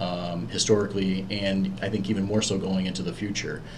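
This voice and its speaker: There is audible room echo and noticeable background noise. Through it, a man speaks at a fairly low pitch. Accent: northeastern US. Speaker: university program manager. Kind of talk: interview. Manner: hesitant, many fillers. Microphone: echo in room.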